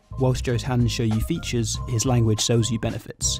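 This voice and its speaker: A man speaks at a fairly quick pace. Music plays in the background. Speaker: video narrator. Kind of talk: explanatory commentary.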